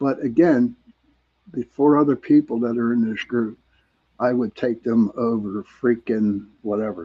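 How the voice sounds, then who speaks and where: Using an ordinary speaking voice of medium pitch, a man talks at a fairly slow pace. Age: 60s. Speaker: paranormal investigator. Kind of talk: casual panel discussion.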